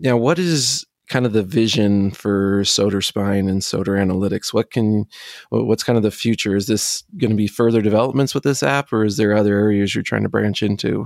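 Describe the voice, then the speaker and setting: Using a plain, everyday voice with an American accent, a man speaks at a fairly quick pace and fairly low pitch with ordinary pitch variation. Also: dry, close sound with no echo. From United States. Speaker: podcast host. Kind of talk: interview.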